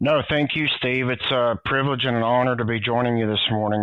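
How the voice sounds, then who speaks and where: Speaking with a Southern US accent, a man has a medium pitch and ordinary pitch variation. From US South, Tennessee. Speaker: former DEA agent. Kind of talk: casual interview chat.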